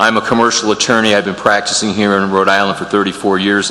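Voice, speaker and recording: A man with an American accent speaks in a fairly low, monotone, flat voice, with audible room echo and noticeable background noise. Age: 60s. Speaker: lawyer and committee applicant. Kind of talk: public meeting statement. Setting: town council chamber. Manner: halting, many fillers.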